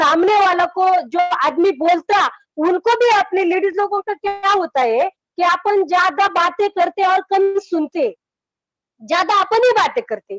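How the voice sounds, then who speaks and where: This woman's voice sits at an extremely high pitch, with ordinary pitch variation, very even loudness, and a dry, close sound free of echo. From rural Maharashtra, India (village near Aurangabad). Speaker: network marketing business leader. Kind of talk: motivational talk in an online meeting interview.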